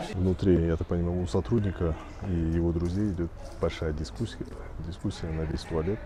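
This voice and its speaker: Pausing long and often, a man with a very deep, low pitch speaks at a moderate pace in a dark, mellow, somewhat breathy tone with ordinary pitch variation. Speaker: travel vlogger. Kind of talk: vlog narration. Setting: outdoors.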